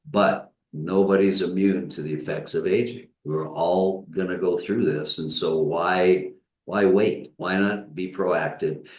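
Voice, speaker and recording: A man with an American accent speaks at a fairly slow pace in a very deep, low voice, with audible room echo. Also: ordinary pitch variation. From US Midwest (Northern Michigan). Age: 70s. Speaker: physician. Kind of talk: interview.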